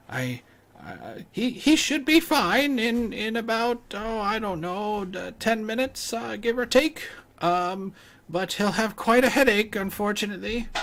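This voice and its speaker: Here a man puts on a character voice with a high pitch. He keeps a moderate pace. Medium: actual play. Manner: stammering, hesitant, apologetic.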